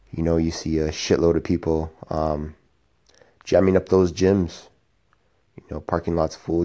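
A man with a very deep, low voice and a dark, mellow tone speaks in a flat monotone with big swings in loudness and long, frequent pauses against a quiet background. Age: 40s. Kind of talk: casual vlog monologue. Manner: hesitant, many fillers.

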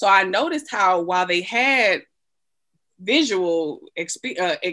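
A woman speaks with an American accent. Her voice makes very wide pitch swings. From US South, Atlanta, Georgia. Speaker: PhD student and community project founder. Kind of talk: casual chat.

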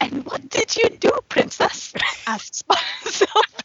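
A put-on, robotic character voice at an extremely high pitch moves along at a moderate pace.

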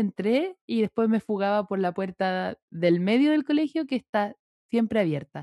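With a Chilean accent, a woman talks at a moderate pace in a dark, mellow tone with lively intonation, the sound dry and close with no echo over a quiet background. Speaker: podcast co-host. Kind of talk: casual chat.

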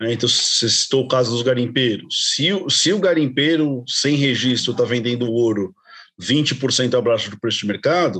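This man has an unremarkable speaking voice, pitched in the medium range with ordinary pitch variation, and he takes a fairly slow pace. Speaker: podcast co-host, business administrator. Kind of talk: interview.

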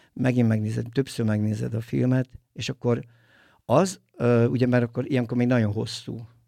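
At a fairly quick pace, a man is captured on a very clean recording with a silent background and a dry, close sound with no echo. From Tolna county, Hungary. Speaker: film producer and DJ. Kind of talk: casual interview. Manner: halting, many fillers.

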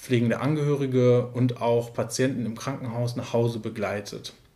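Monotone, flat speech at a moderate pace with audible room echo. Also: man. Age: 30s. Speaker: care services manager, trained nurse. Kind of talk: interview. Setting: in person, sitting together.

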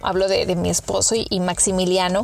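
Someone talks at a moderate pace while music plays in the background. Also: woman. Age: 30s. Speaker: podcast host. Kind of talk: casual monologue.

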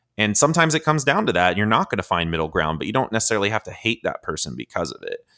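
On a very clean recording with a silent background, a man with an American accent speaks at a very fast pace with hardly any pauses, using a bright, sharp tone, a fairly low pitch, and very wide pitch swings. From US South, Georgia. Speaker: techno producer and software engineer. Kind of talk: casual chat.

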